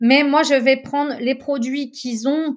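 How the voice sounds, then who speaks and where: This woman talks very slowly. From French Alps, Chamonix. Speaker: chef and food consultant. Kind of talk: interview.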